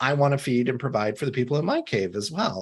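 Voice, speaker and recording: A man with an ordinary speaking voice and an American accent talks at a fairly high pitch with lively intonation. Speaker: CEO and author, empathy expert. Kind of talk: podcast interview.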